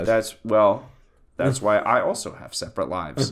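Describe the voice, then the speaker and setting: A man speaks with vocal fry. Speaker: podcast host. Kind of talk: casual podcast banter.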